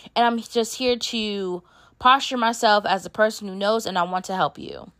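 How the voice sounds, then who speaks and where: A woman's fairly high, animated voice at a fairly quick pace, with ordinary pitch variation and a very clean recording with a silent background. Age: 30s. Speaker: podcast host and bookkeeper. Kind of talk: casual monologue.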